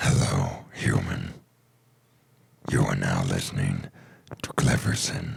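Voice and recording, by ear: A put-on character voice with vocal fry and little pitch movement. The delivery is slow. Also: man, extremely low pitch for a man.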